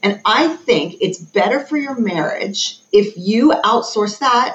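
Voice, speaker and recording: Against noticeable background noise, a woman with an American accent speaks with lively intonation. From United States. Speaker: psychologist and educational consultant. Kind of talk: casual interview chat.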